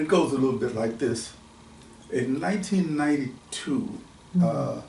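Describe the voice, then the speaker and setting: A man with a normal speaking voice talks at a moderate pace in a fairly high pitch with lively intonation. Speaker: author. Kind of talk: casual conversation.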